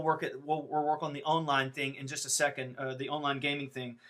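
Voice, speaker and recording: The man's voice is bright and sharp in tone. Its pitch sits fairly high. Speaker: tech support webinar host. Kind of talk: live Q&A help session. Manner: fast.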